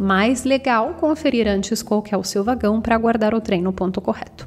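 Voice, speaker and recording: A woman with an Italian accent speaks at a fairly high pitch with ordinary pitch variation, and there is noticeable background noise. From northern Italy, Bergamo. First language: Italian (speaking Portuguese). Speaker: Italian language teacher. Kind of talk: tutorial.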